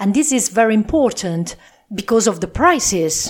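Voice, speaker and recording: With an Italian accent, a woman speaks at a fairly high pitch. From Italy (Po Valley, northern Italy). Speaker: podcast host, Italian language teacher. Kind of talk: casual monologue recap for learners. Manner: halting, frequent fillers.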